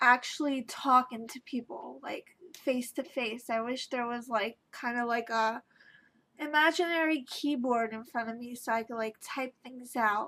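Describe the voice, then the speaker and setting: This woman's voice sits high in pitch, and her intonation stays fairly even. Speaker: vlogger sharing personal experience. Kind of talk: personal vlog monologue. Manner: halting, many fillers.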